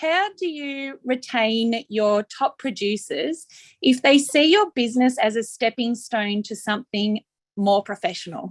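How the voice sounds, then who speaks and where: The speech moves at a fairly slow pace with lively intonation. The sound is dry and close with no echo, on a very clean recording with a silent background. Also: woman, high pitch for a woman. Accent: Australian. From Australia. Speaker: flower farmer. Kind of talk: audience question.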